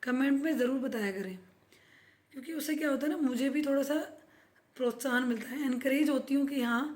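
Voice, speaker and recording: The delivery has fairly even intonation at a moderate pace. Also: woman. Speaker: vlogger. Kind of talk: casual vlog talk.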